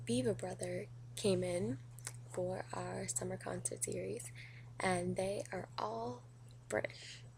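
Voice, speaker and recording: Using vocal fry, a woman with a very deep, low pitch and a dark, mellow tone moves through very wide pitch swings. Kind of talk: casual talk to camera.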